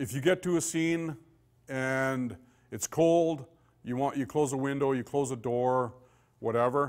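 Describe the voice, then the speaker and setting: Against a quiet background, a man with a Canadian accent speaks at a fairly slow pace. His pitch varies in an ordinary way. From Saskatchewan, Canada. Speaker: police forensic investigator; police forensics instructor. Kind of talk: lecture. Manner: casual and conversational, with many fillers. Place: meeting room.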